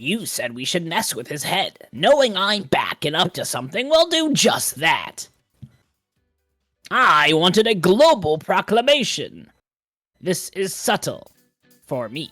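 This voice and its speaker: In a put-on character voice with a pompous tone, the speaker uses a middle pitch with very wide pitch swings. The pace is fairly slow, with long, frequent pauses. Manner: hammy, scheming, pompous.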